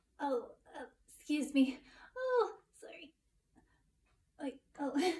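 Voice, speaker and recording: A woman's put-on character voice, high in pitch and very slow in pace. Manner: hesitant, excited.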